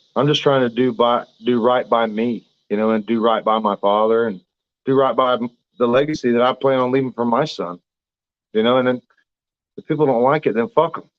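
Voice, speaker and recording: In a Southern US accent, a man speaks with fairly even intonation and long, frequent pauses. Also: medium pitch for a man. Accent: southern drawl. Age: 30s. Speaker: professional boxer. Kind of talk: interview. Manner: halting.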